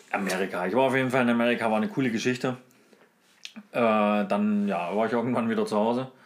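Very fast speech with long, frequent pauses, very even loudness and fairly even intonation, over noticeable background noise. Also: man, medium pitch for a man. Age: 30s. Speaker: podcast co-host. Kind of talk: casual chat.

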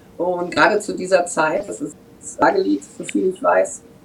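A woman at medium pitch and moderate pace, with noticeable background noise. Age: 50s. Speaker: German expat on Mallorca. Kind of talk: casual chat.

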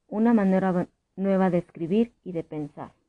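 Dark and mellow in tone, a woman speaks at a fairly slow pace. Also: dry, close sound with no echo. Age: 30s. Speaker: teacher and podcast host. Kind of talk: scripted narration.

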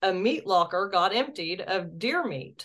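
A woman speaks at a very slow pace. Her pitch is medium, with ordinary variation. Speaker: UFO investigator and state director. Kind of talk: casual interview. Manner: articulate.

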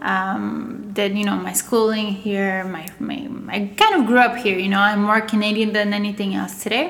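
Amid audible room echo and noticeable background noise, a woman at medium pitch talks at a moderate pace with fairly even intonation. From Russia/Bulgaria, raised in Montreal from age ten. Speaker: agency owner. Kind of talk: interview.

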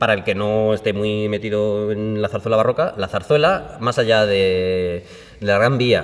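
A man's normal speaking voice, fairly low in pitch, with fairly even intonation at a fairly slow pace. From Andalusia, Spain (Málaga). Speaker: baroque violinist and ensemble director. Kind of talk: casual interview. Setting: chamber hall of a concert auditorium.

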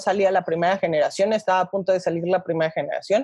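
Her pitch lands in the medium range for a woman. The voice carries a dark, mellow tone. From Mexico, Toluca. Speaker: nutritionist. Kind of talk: interview.

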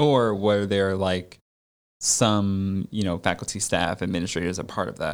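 In a very clean recording with a silent background, a man with an unremarkable speaking voice and an American accent talks at a moderate pace, with a fairly low pitch and fairly even intonation. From Connecticut suburbs. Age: 30s. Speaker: podcast host, academic. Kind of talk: casual interview. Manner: casual, lots of fillers.

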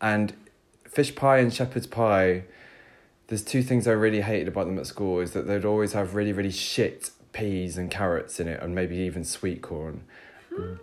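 With a British accent, the voice moves at a moderate pace and shows ordinary pitch variation. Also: man, fairly low pitch for a man. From United Kingdom. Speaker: podcast co-host. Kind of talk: casual chat; cooking tutorial.

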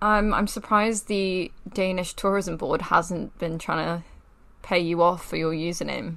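At a moderate pace, a woman talks in a normal speaking voice with fairly even intonation. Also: fairly low pitch for a woman. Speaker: podcast host. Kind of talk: casual chat.

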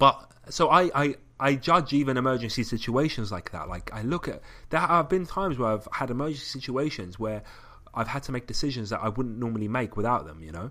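A man talks at a fairly quick pace and medium pitch. His tone is bright and sharp. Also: lively intonation. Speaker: podcast co-host. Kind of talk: casual chat.

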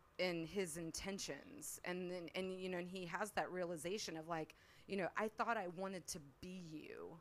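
A woman's ordinary speaking voice, medium-pitched, with ordinary pitch variation and a moderate pace. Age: 40s. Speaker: podcast co-host, guest. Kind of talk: casual chat.

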